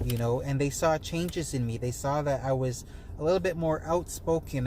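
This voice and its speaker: At a fairly quick pace, a man speaks with fairly even intonation and fairly high pitch. His tone is dark and mellow, and somewhat breathy. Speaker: wellness and money-tips vlogger. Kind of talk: casual to-camera talk. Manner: soft-spoken; hesitant, many fillers.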